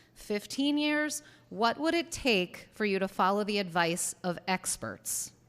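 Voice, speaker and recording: A loud woman's voice, fairly slow, with very wide pitch swings, on a very clean recording with a silent background. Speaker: parent speaking at public hearing. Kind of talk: public comment speech. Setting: town council public hearing.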